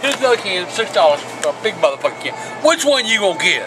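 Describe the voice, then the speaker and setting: With music in the background, a man rattles off his words at a very fast pace. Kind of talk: casual angry rant. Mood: grumpy, profane, irritated.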